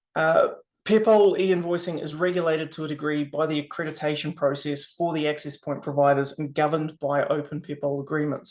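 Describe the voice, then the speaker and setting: Over a quiet background, a man talks at a fairly quick pace. His voice is fairly high, with monotone, flat intonation. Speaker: software solutions specialist. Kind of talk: webinar presentation. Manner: fast.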